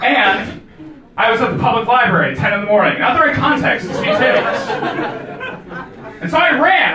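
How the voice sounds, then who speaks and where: Amid crowd noise and audible room echo, a man with an American accent raises and projects his extremely high-pitched voice, speaking at a moderate pace in an animated tone with very wide pitch swings. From United States. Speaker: comedian. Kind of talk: stand-up. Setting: stage with audience.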